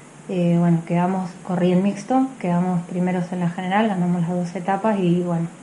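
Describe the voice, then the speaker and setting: Noticeable background noise under a woman's medium-pitched voice, moderate in speed. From Mendoza, Argentina (General Alvear). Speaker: athlete. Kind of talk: interview. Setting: outdoors at race venue.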